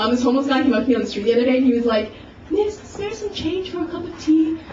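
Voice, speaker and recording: Very fast and high-pitched, a woman's voice swings very widely in pitch, with audible room echo and noticeable background noise. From Canada. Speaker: stand-up comedian. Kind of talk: stand-up. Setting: stage with audience. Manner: casual, filler-heavy.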